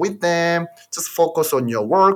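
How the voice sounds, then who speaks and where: A man with a Korean accent speaks at a fairly slow pace, his intonation lively. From South Korea. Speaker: podcast host, MBA graduate. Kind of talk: casual chat. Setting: video call.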